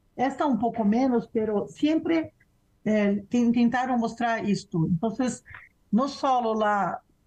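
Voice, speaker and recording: A woman's dark, mellow voice at a fairly high pitch, very slow in pace, with ordinary pitch variation. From Brazil. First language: Portuguese (speaking Spanish). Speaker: professor and researcher. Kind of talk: interview conversation.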